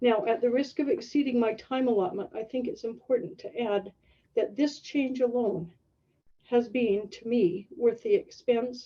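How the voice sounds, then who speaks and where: A woman speaks with a normal speaking voice at a fairly high pitch. Her pace is fairly slow and her intonation lively. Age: 60s. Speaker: adult learning program student. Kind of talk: prepared testimonial talk.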